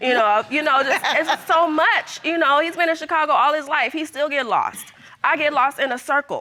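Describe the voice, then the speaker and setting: The voice is raised and projected, its loudness very even. It moves at a moderate pace with ordinary pitch variation. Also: woman, high pitch for a woman. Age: 30s. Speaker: plaintiff on court show. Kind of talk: courtroom testimony. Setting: TV courtroom with audience.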